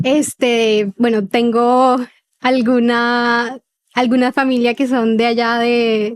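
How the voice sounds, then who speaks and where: A high-pitched woman's voice, monotone and flat, at a very slow pace and very even loudness, in a dry, close sound with no echo. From Colombia, Cartagena (Caribbean coast). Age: 20s. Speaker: former feminist sharing testimony, musician. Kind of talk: testimony interview.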